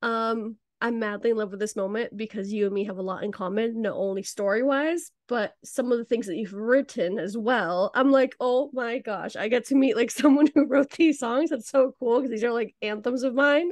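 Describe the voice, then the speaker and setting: A woman with a fairly high pitch speaks in an animated tone at a moderate pace. She uses ordinary pitch variation and hardly any pauses. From Venezuela, raised in US, then Spain. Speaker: podcast host. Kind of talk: interview. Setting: podcast.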